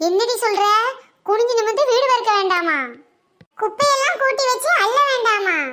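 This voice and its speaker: A woman uses a cartoonish character voice, squeaky and at an extremely high pitch. Her intonation is lively and her pace moderate. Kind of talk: village cartoon comedy. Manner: blunt, teasing.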